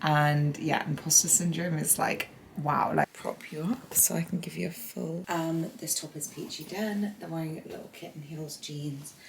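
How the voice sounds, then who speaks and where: Someone whispers with hardly any pauses and big swings in loudness, over noticeable background noise. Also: woman, moderate pace. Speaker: lifestyle vlogger. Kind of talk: vlog. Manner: whispering.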